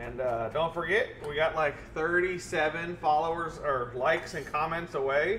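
The pace is moderate, with ordinary pitch variation. Light background noise can be heard. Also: man. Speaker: cook hosting a live stream. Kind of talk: cooking show commentary. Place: kitchen.

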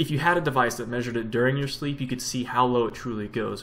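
The speaker is a man. He talks at a fairly quick pace. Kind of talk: educational vlog explanation. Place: home room. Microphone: webcam.

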